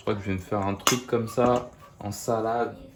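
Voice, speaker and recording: A man speaks very slowly in a monotone, flat intonation. Noticeable background noise is present. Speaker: cooking video host. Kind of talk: cooking tutorial. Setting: in bed at night. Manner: soft-spoken; hesitant.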